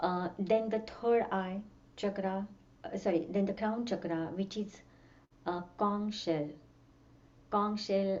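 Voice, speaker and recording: The talking goes at a fairly slow pace, with audible echo from the room. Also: woman. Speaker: music teacher and sound healer. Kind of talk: workshop lecture. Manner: halting.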